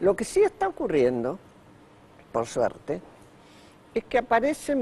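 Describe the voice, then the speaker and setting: Very wide pitch swings mark a man's fairly slow speech. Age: 80s+. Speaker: author. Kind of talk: TV interview.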